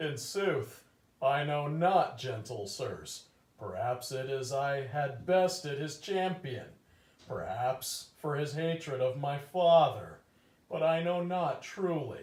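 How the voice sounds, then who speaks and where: With slight echo, a put-on character voice moves at a fairly slow pace with ordinary pitch variation. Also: man, fairly high pitch for a man. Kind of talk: mock-Shakespearean comic overacting. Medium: stage play. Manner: earnest, theatrical.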